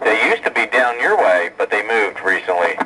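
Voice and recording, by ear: A man's bright, sharp tone moves through big pitch swings. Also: fairly low pitch for a man, moderate pace.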